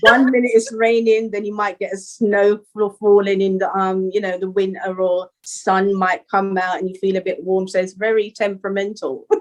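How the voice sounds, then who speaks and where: In a London accent, a woman talks at a moderate pace with hardly any pauses and a monotone, flat intonation. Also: medium pitch for a woman. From Northwest London, England. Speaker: rapper. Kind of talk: interview. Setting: call.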